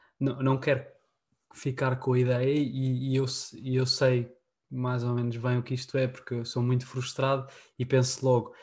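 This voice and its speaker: This man's voice sits at a medium pitch and is somewhat breathy. He talks at a moderate pace in a monotone, flat delivery with long, frequent pauses. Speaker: podcast host. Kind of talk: casual chat.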